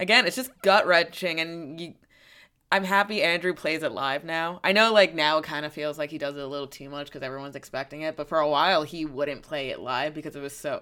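A woman speaks with a very deep, low pitch at a fairly quick pace. Her tone is bright and sharp. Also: very clean recording, silent background. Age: 20s. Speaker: podcast co-host. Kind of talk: casual chat.

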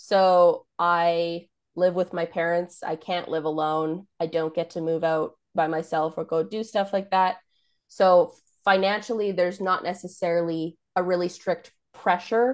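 A woman with a Canadian accent speaks in a normal speaking voice at a fairly low pitch. Her pace is fairly slow and her intonation fairly even, against a quiet background. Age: 20s. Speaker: photographer. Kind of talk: coaching call, casual. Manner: laughs often.

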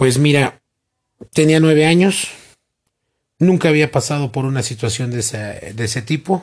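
Against a quiet background, a man speaks very slowly with ordinary pitch variation. His voice is somewhat breathy. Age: 40s. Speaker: interviewee, earthquake survivor. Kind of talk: interview.

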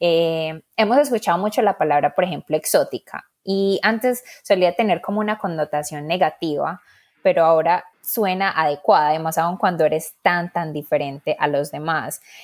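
Her pitch fairly low and its variation ordinary, a woman talks at a moderate pace. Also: hardly any pauses. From Colombia, Medellín. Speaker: podcast co-host. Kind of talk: casual chat.

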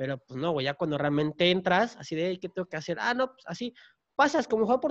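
A man's pitch swings very widely as he speaks at a very fast pace. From Mexico, Tapachula, Chiapas. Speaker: podcast host. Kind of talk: casual chat. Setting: home recording during lockdown.

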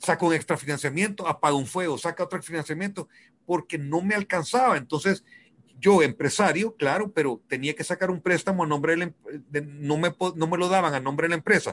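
Against a quiet background, a man talks at a fairly quick pace in a high voice with ordinary pitch variation. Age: 50s. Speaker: businessman and weekly radio guest. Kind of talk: casual radio chat about personal finance.

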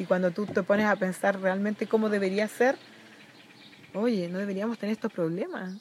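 With an unremarkable speaking voice, a woman talks at a moderate pace and medium pitch, her intonation fairly even. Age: 40s. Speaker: environmental and social activist. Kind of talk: casual chat.

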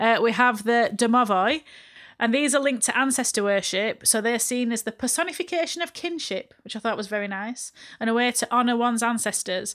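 On a very clean recording with a silent background, a woman with a Yorkshire accent speaks at a fairly high pitch with ordinary pitch variation. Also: fairly quick pace. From northern England, Barnsley (Yorkshire). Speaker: podcast host. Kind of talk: casual chat.

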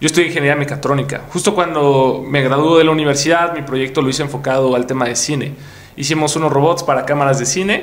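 Talking at a very fast pace, a man with a fairly high pitch and fairly even intonation is heard amid audible room echo and noticeable background noise. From Mexico, Puebla. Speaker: entrepreneur and content creator. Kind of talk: interview.

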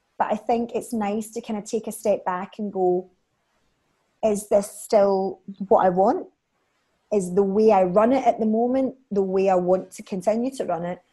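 A woman speaks at medium pitch and a moderate pace in a Scottish accent. Her tone is dark and mellow, with big swings in loudness. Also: ordinary pitch variation. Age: 30s. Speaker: beauty salon owner. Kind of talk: casual chat.

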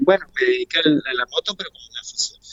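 A man speaks against noticeable background noise. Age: 50s. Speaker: motorcycle racer. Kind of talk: casual interview. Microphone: choppy internet connection.

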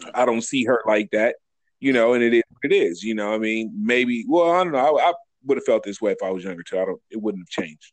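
Lively in intonation, a man with an ordinary speaking voice talks at medium pitch and a fairly quick pace. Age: 40s. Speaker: podcast co-host. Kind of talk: casual chat.

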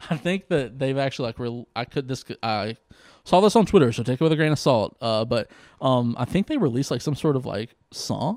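An unremarkable speaking voice: a man with an American accent talks at a fairly quick pace and medium pitch with lively intonation, on a very clean recording with a silent background and a dry, close sound with no echo. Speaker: comedian and law student. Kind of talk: casual chat.

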